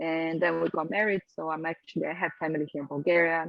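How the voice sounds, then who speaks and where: A woman speaks with a Portuguese accent at a fairly low pitch. Her pace is moderate and her pitch variation ordinary. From Brazil. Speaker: rock band singer. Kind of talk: interview. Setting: video call.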